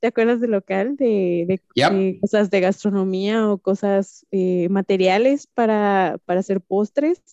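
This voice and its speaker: Speaking at a very slow pace with hardly any pauses, a woman keeps her loudness very even in a dry, close sound with no echo. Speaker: entrepreneur. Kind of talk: casual chat.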